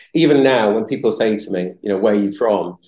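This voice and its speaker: A man speaks with a fairly low voice and a dark, mellow tone. His pitch varies in an ordinary way. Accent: Yorkshire. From northern England, Bradford, West Yorkshire. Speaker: entrepreneur. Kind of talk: interview. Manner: halting, many repeated words.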